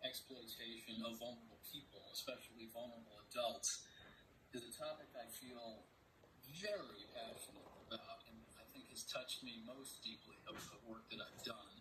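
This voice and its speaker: The loudness swings widely, with noticeable background noise throughout. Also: man, moderate pace. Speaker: reporter giving a keynote. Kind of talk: keynote speech introduction. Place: home room.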